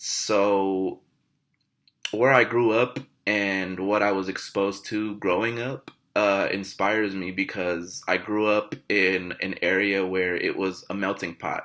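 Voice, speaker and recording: A man with an American accent speaks fairly slowly at a fairly low pitch, monotone and flat. His tone is bright and sharp, on a very clean recording with a silent background. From Los Angeles, California. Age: 20s. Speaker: college student. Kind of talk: class introduction video. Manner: hesitant, many fillers.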